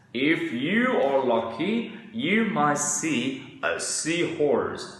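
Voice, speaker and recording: A man puts on a character voice, fairly high-pitched and very slow. A clear echo surrounds it. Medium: read story.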